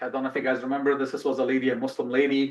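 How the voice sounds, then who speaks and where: Against a quiet background, a man speaks with a fairly high pitch. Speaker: guest speaker on Islam. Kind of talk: lecture. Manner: fast.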